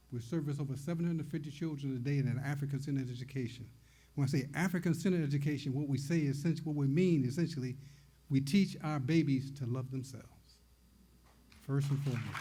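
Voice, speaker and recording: A man with a dark, mellow tone and fairly high pitch talks at a very fast pace, somewhat breathy and with fairly even intonation, in a room with audible echo. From US Midwest, Detroit, Michigan. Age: 80s+. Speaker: poet and publisher, award recipient. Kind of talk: acceptance speech.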